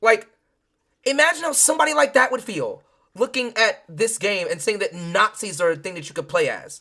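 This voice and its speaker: A woman talks at a fairly quick pace in an animated, bright, sharp tone, her fairly high voice making very wide pitch swings. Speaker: streamer reacting to videos. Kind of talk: live stream reaction commentary. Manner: loud; animated, agitated.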